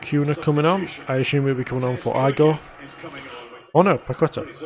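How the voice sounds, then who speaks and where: Over noticeable background noise, a man with a Yorkshire accent talks at a very fast pace. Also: fairly high pitch for a man. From northern England, Sheffield. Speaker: football fan streamer. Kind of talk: live watch-along commentary. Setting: live stream at home. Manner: low-energy, unenthusiastic.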